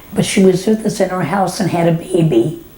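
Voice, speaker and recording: A woman with an American accent speaks at a medium pitch with fairly even intonation over noticeable background noise. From Texas, Dallas area. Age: 90s. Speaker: elderly woman sharing memories. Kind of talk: oral history reminiscence. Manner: halting, with repetitions.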